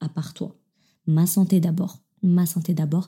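Speaking at a fairly slow pace, a woman has a fairly low, somewhat breathy voice with a dark, mellow tone. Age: 20s. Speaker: podcast host. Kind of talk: casual monologue. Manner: hesitant, many fillers.

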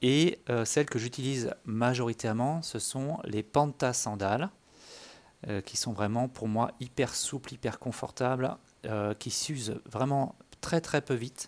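On a very clean recording with a silent background, a man speaks at a very slow pace. His medium pitch has ordinary variation. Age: 40s. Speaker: amateur runner podcaster. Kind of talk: solo monologue podcast. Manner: hesitant, many fillers.

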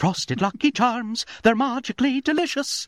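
A put-on character voice with a fairly high pitch delivers its lines at a moderate pace. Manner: put-on cheerful advert voice.

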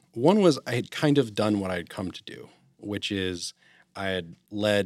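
An ordinary speaking voice, a man with an American accent talks at a fairly low pitch with ordinary pitch variation. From western Massachusetts. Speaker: real estate investor and former lawyer. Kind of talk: casual interview chat.

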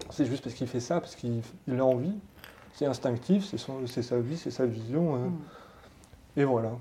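At a moderate pace, a man talks at a medium pitch with ordinary pitch variation. He leaves long, frequent pauses. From France, Haute-Savoie. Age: 40s. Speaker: tattoo artist. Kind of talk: interview. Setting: tattoo shop.

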